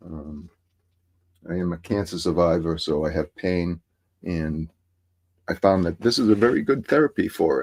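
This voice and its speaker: In a Massachusetts accent, the speaker moves at a moderate pace with ordinary pitch variation and long, frequent pauses, captured in a dry, close sound with no echo on a very clean recording with a silent background. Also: man, very deep, low pitch for a man. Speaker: hobby painter streamer. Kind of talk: casual livestream tutorial chat. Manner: halting, many fillers.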